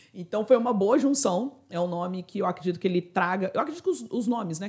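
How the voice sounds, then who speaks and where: Speaking very fast, a woman with a medium pitch sounds somewhat breathy and uses lively intonation. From Brazil, Itatiaia (Rio de Janeiro state). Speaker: customer success expert and author. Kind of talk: interview conversation.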